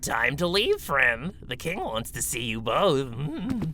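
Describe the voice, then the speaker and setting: Clear background noise runs behind the recording. A man in a put-on character voice speaks at a fairly slow pace. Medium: audio drama. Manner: blunt, terse.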